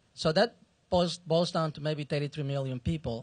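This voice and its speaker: With a quiet background, a man with a non-native accent speaks at a fairly quick pace and ordinary pitch variation. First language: not English. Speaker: audience member. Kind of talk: audience question.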